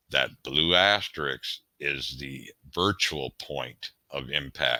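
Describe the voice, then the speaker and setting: Vocal fry colors a man's bright, sharp tone. The sound is dry and close with no echo, and his pitch variation is ordinary. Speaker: shooting instructor. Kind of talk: tutorial.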